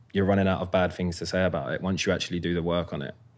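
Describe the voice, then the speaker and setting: A man speaks with a London accent in a very deep, low voice, his intonation flat and monotone. The recording is very clean, with a silent background. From South London, Croydon. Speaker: professional footballer. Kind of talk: casual chat.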